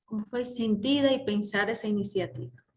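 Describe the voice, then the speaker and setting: A woman talks with a Brazilian accent, sounding somewhat breathy. Her pitch varies in an ordinary way, and room echo is audible. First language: Portuguese (speaking Spanish). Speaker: conference speaker, organizer. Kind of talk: opening conference talk. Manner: halting, many fillers.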